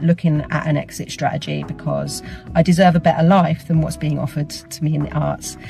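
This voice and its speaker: A woman with an Essex accent and a very deep, low pitch, at a moderate pace over music in the background. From Essex, England. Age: 40s. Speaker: theatre artist and teacher. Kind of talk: personal testimony. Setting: travelling, on the way to teach.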